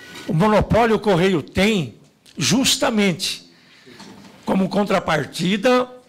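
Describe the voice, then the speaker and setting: Noticeable background noise sits behind the voice. The speaker talks at a very slow pace. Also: man. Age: 50s. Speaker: union leader. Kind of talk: speech at a public hearing. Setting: parliamentary committee hearing. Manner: formal.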